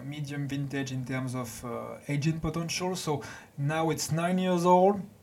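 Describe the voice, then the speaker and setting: At a fairly slow pace, a man with a French accent speaks at a fairly high pitch with ordinary pitch variation and audible room echo. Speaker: winemaker. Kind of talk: interview. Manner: halting.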